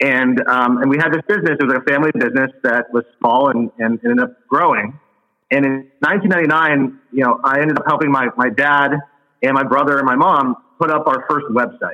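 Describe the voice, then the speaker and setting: Bright, sharp male voice with an American accent, fairly high pitch, ordinary pitch variation, a fairly quick pace and very even loudness. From South Florida, Fort Lauderdale area. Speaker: tech company CEO. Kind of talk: podcast interview.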